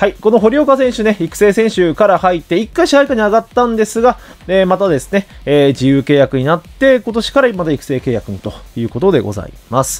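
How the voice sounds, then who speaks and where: Music plays in the background as a man with a high pitch speaks at a fairly quick pace with very wide pitch swings. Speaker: baseball YouTuber. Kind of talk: commentary video on player prospects. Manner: frequent filler words, polite formal style.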